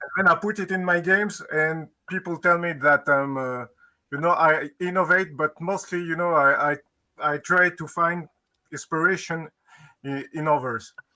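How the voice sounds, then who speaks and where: A man with a French accent, high-pitched and with a bright, sharp tone, at a moderate pace with fairly even intonation. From France. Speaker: game designer. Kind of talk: interview. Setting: live stream. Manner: halting.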